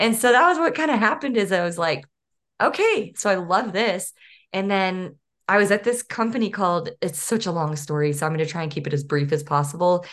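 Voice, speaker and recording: A woman with an American accent talks at a fairly quick pace in an ordinary speaking voice. Her pitch sits fairly low, her intonation is lively, and the background is quiet. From Northeast Texas. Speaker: physical therapist turned career coach. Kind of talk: interview.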